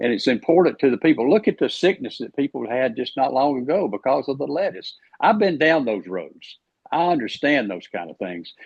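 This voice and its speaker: In an Alabama accent, a man with a fairly high pitch and vocal fry talks at a fairly quick pace, his pitch swinging very widely. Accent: Southern US (Alabama). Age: 70s. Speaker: politician, candidate for agriculture commissioner. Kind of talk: podcast interview.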